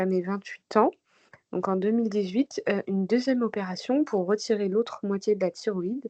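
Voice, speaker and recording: The voice has a dark, mellow tone and fairly even intonation, with a dry, close sound and no echo. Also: woman. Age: 30s. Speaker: patient sharing testimony. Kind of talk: testimony.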